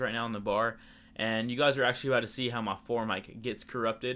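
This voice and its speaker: A man talks at a very fast pace in a medium-pitched voice. His tone is bright and sharp, his intonation monotone and flat. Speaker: fitness vlogger. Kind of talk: casual vlog commentary on training videos. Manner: stuttering at times.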